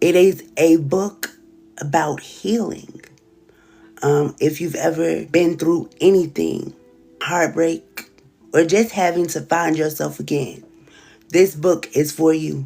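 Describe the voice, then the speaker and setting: A woman with a Southern US accent and a very deep, low pitch, speaking very slowly with long, frequent pauses and fairly even intonation, music in the background. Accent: Southern American. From Southern US (Alabama/Florida). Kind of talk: casual livestream talk.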